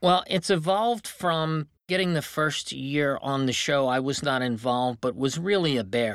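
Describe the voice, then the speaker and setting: With an ordinary speaking voice, a man speaks at a fairly slow pace and fairly high pitch with ordinary pitch variation, on a very clean recording with a silent background. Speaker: television and radio producer. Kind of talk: interview conversation on a podcast.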